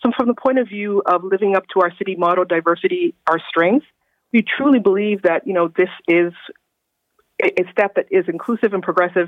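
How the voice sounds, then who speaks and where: Speaking at a fairly quick pace, a woman with a Canadian accent has a plain, everyday voice at a medium pitch with ordinary pitch variation. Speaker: city government official. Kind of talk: radio interview. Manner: formal.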